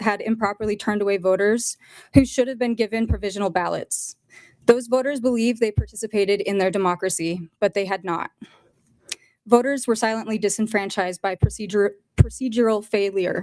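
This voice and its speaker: Dry and close with no echo, a woman's fairly high voice with an American accent moves at a fairly quick pace with fairly even intonation. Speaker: public commenter at hearing. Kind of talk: public testimony. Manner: halting, possible stumbles.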